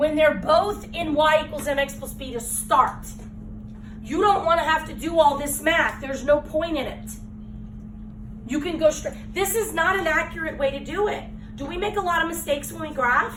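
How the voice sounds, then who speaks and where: Audible room echo surrounds a woman who speaks at a moderate pace with a high pitch, ordinary pitch variation and big swings in loudness. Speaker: math teacher. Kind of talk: classroom lesson.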